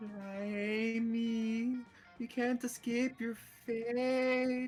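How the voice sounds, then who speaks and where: In a put-on character voice, the speaker whispers at a very slow pace over clear background noise. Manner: frightening whisper.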